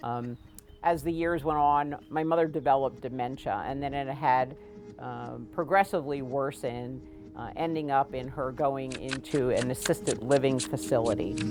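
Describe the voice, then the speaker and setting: Vocal fry in a woman's very deep, low voice, moderate in pace, with ordinary pitch variation. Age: 60s. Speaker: outdoor adventure group founder. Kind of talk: documentary interview. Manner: halting.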